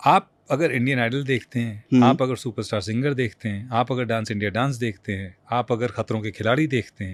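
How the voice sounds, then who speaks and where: A man in an unremarkable speaking voice, medium in pitch with ordinary pitch variation and hardly any pauses, in a very clean recording with a silent background. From India. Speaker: voice-over artist. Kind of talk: interview answer.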